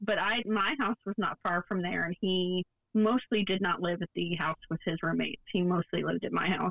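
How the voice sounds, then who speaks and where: A woman speaks in an unremarkable speaking voice at medium pitch and a moderate pace. Her loudness is very even and her intonation fairly even. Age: 30s. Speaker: podcast co-host. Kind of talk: casual chat. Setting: remote recording.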